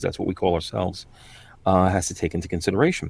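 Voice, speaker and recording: A man's very deep, low voice in a New York accent. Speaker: voice-over artist. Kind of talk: interview conversation. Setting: sound booth, remote video call. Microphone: professional recording booth.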